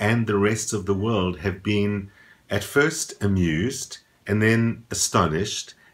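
A man speaks at a fairly slow pace. His pitch is fairly low, with ordinary variation. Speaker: astrology vlogger. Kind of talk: casual vlog commentary. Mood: calm, thoughtful. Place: home room.

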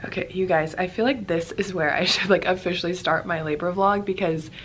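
A woman speaks in a fairly low voice over light background noise. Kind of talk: casual vlog chat. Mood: relieved, a bit nervous. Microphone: phone near.

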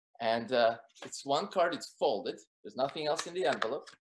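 Noticeable background noise behind a voice of lively intonation. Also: man. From Soviet Union. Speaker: magician; guest. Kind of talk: magic performance patter; casual chat. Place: home room. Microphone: webcam.

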